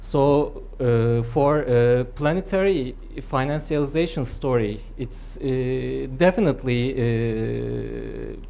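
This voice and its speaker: In a Turkish accent, a woman talks at a very slow pace with hardly any pauses. Audible room echo surrounds her voice. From Turkey. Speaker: political economist. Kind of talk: academic seminar discussion. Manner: halting, frequent hesitations.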